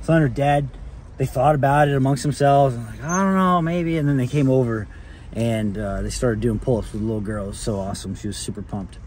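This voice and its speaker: A man's somewhat breathy, very fast speech with lively intonation, dry with no echo, over light background noise. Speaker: real estate vlogger. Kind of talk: casual vlog chat. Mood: upbeat, cheerful. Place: car. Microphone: phone near.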